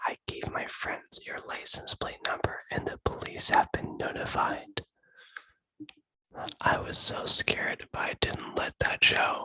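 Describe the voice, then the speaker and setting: Whispering at a fairly slow pace, a man's voice shows big swings in loudness, in a dry, close sound with no echo. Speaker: ASMR creator. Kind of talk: reading a scary story. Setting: recorded through video call, poor audio.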